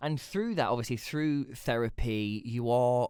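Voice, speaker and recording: In a very clean recording with a silent background, a man with an East Midlands accent speaks at a medium pitch and moderate pace, with ordinary pitch variation. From England, Leicester. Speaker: podcast host. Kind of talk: casual personal monologue. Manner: conversational with frequent fillers and restarts.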